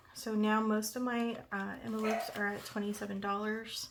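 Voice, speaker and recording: A soft-spoken woman with a fairly high voice talks at a moderate pace over noticeable background noise, with audible room echo. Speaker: budgeting content creator. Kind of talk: casual vlog tutorial.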